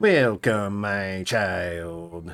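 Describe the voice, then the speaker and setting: A put-on character voice from a man, pitched fairly low. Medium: actual play. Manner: polite, formal.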